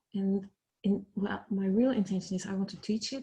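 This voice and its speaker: A woman talks at a fairly quick pace with a medium pitch. Her voice is somewhat breathy. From Netherlands. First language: Dutch. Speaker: teacher. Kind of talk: group introduction. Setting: video call. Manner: halting.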